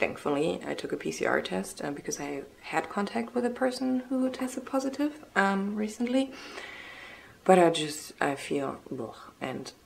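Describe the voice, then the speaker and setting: This woman talks at a moderate pace in a medium pitch, her voice swinging very widely in pitch over noticeable background noise. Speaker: vlogger with multiple sclerosis. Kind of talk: casual vlog. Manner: hesitant with many ums.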